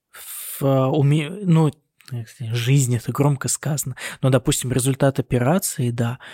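In a Russian accent, the voice moves at a very slow pace, dark and mellow in tone, somewhat breathy, with fairly even intonation. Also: man, medium pitch for a man. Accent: Russian accent when speaking German. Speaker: doctor (neurosurgeon) working in Germany, podcast co-host. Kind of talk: casual chat. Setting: recording on hospital night duty, on a laptop.

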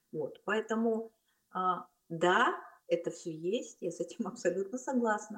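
A woman with a fairly high pitch and lively intonation talks at a fairly slow pace, leaving long, frequent pauses. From Kazakhstan, Almaty. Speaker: film director. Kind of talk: casual interview. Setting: call.

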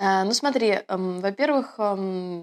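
A woman speaks in a normal speaking voice at a medium pitch with ordinary pitch variation. The recording is very clean with a silent background and a dry, close sound with no echo. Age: 30s. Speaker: producer of online schools, actress. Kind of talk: casual interview chat.

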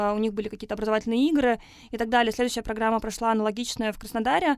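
This woman has an ordinary speaking voice. Her pitch is fairly high and her intonation fairly even. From Russia, Tatarstan (Naberezhnye Chelny). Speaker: urban education program producer. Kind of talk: podcast interview. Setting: studio.

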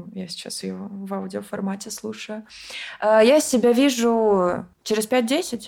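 At a very slow pace, a woman speaks in a dark, mellow tone at fairly high pitch, with ordinary pitch variation and big swings in loudness. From Moscow region, Russia. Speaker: event organizer. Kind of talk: casual chat.

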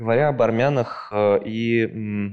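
A man's voice with a dark, mellow tone. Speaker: podcast host. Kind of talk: interview.

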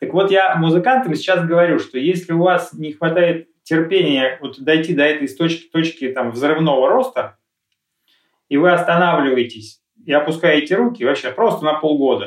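Speaking at a moderate pace, a man with a high pitch leaves long, frequent pauses. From Russia, Lipetsk region. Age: 40s. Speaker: music producer. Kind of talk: interview. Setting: live stream.

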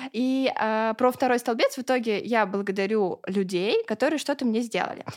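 Against a very clean recording with a silent background, a woman speaks in an unremarkable speaking voice at a fairly high pitch and moderate pace, with ordinary pitch variation. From Russia, Ulyanovsk. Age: 20s. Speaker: blogger. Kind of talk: casual interview.

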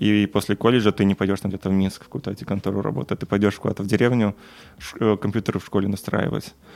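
A man speaks at a very fast pace with a fairly low pitch and vocal fry. His intonation is fairly even, and the sound is dry and close with no echo. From Belarus. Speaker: software engineer. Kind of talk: casual chat. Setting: at home.

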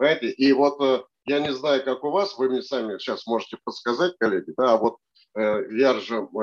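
With a normal speaking voice, a man talks at a moderate pace and with lively intonation, the sound dry and close with no echo. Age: 60s. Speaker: operations consultant and MBA lecturer. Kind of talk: expert interview. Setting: studio.

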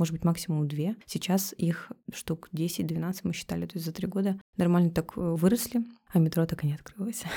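A somewhat breathy woman's voice, fairly low in pitch and moderate in pace, on a very clean recording with a silent background. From Russian Far East. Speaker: cafe co-owner. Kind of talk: casual interview chat. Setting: studio with microphones. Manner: animated, colloquial.

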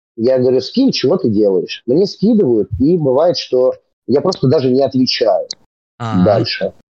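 A man with an unremarkable speaking voice talks at a medium pitch with lively intonation and very even loudness. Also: moderate pace. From Moscow region, Russia (Serpukhov). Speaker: rapper and comedy theatre actor. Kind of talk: casual chat.

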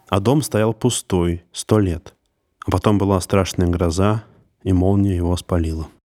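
A man's very deep, low voice with a dark, mellow tone, fairly even intonation, very even loudness and a fairly slow pace, in a dry, close sound with no echo. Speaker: podcast host. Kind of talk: horror storytelling narration. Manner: measured, suspenseful storyteller pacing; grim, ominous tone building dread.

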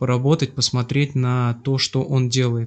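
Somewhat breathy, a man speaks at a medium pitch. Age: 30s. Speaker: bank department head. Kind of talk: casual interview. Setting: guest's kitchen.

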